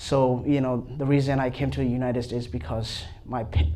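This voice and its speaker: Ordinary pitch variation and a moderate pace come through amid audible room echo. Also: man. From Myanmar. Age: 20s. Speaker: seminary student. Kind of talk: panel discussion. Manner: halting.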